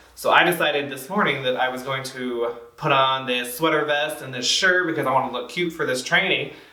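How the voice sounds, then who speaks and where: A man talks with ordinary pitch variation. The recording has audible room echo and noticeable background noise. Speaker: community trainer. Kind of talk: training presentation. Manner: fast; casual, filler-heavy.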